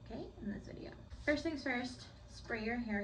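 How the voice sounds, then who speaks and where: A woman talks at a very fast pace amid noticeable background noise and audible room echo. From United States (moved from Puerto Rico at three). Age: 20s. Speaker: beauty vlogger. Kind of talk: casual vlog tutorial. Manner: chatty, uses many fillers like 'like'.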